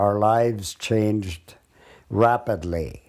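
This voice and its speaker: A man with an Upper Midwest accent, fairly low in pitch and dark, mellow in tone, at a very slow pace on a very clean recording with a silent background. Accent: Upper Midwest rural American. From North Dakota. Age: 80s+. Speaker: retired farmer. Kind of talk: oral history reminiscence. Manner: halting.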